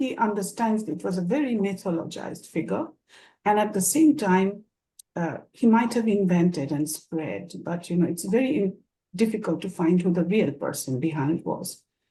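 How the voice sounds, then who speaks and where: With a Bengali accent, the voice is somewhat breathy and dark and mellow in tone, moving at a moderate pace with lively intonation. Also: woman, medium pitch for a woman. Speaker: moderator and professor. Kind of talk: panel moderation introduction. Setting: online discussion. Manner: hesitant, many fillers.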